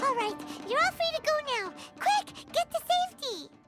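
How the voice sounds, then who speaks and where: This is a squeaky, cartoonish character voice at an extremely high pitch, moving at a moderate pace. Faint music plays in the background. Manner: chirpy, teasing.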